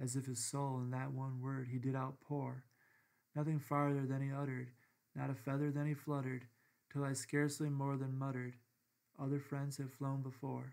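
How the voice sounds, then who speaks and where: A man speaks at a medium pitch with an American accent. His intonation is monotone and flat, at a moderate pace. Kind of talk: poetry reading. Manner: understated.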